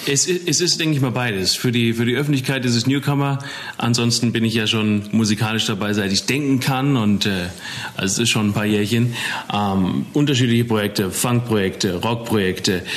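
There is noticeable background noise as a man delivers his words at a fairly quick pace, his loudness very even throughout. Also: medium pitch for a man, ordinary pitch variation. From Germany, Taunus (Hesse). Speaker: rock musician. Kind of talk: casual interview chat.

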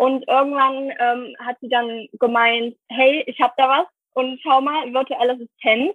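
A woman's high-pitched voice, fairly slow in pace, with fairly even intonation. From Saxony, Germany. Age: 20s. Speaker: virtual assistant. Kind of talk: casual interview.

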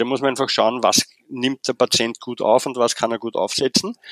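A man with a Viennese accent speaks at a medium pitch and a moderate pace. The sound is dry and close, with no echo. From Vienna, Austria. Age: 40s. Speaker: physiotherapist. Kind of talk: interview.

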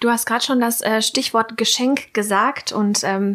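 Over noticeable background noise, a woman with a fairly high pitch speaks in a flat monotone. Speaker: podcast host. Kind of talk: casual interview.

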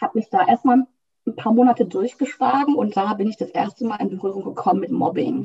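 Recorded dry and close with no echo, a woman with a plain, everyday voice talks at a fairly quick pace, fairly high in pitch with ordinary pitch variation. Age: 30s. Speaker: couples coach. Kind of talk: interview.

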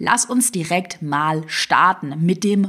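With a slight Swabian accent, a woman speaks at a very slow pace in a somewhat breathy, medium-pitched voice with lively intonation. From Swabia, southwest Germany. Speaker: online business coach. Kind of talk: motivational solo podcast.

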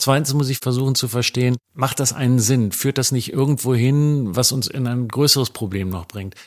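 With a normal speaking voice at a medium pitch, a man talks at a moderate pace with ordinary pitch variation and hardly any pauses, on a very clean recording with a silent background. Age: 60s. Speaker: journalist. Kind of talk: interview.

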